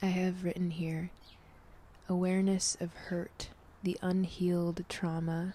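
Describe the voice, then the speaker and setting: Soft-spoken and somewhat breathy, a woman with a fairly low, dark, mellow, gentle voice speaks in a flat monotone at a fairly slow pace. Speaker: tarot reader and ASMR vlogger. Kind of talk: ASMR tarot reading, soft-spoken personal reflection to camera. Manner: soft-spoken, gentle.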